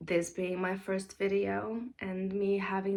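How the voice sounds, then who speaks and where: The woman's voice sits at a medium pitch. She talks at a very slow pace. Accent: non-native. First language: not English. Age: 20s. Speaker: mom vlogger. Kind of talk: casual vlog talk. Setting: daughter's room at home. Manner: hesitant with fillers.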